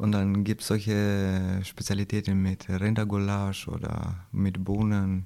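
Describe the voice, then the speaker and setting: On a very clean recording with a silent background, a man with a fairly low voice speaks in a flat monotone. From Kosovo. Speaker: concrete plant foreman. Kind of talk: interview. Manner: halting.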